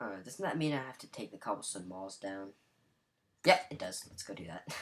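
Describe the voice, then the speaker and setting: A man's fairly low voice with big swings in loudness. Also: fairly quick pace. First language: not English. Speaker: Minecraft gameplay commentator. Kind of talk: gameplay commentary. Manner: halting, self-correcting.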